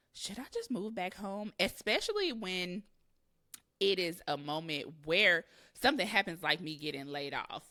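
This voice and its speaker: In an American accent, an unremarkable speaking voice moves at a moderate pace with lively intonation. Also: woman, medium pitch for a woman. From US Midwest, Kansas City, Missouri. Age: 30s. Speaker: podcast host. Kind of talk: casual solo podcast monologue. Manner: conversational, with fillers.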